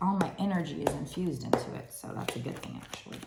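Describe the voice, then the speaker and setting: A very fast, animated delivery with noticeable background noise and audible room echo. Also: woman. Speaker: tarot card reader. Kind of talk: tarot reading to camera. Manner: conversational.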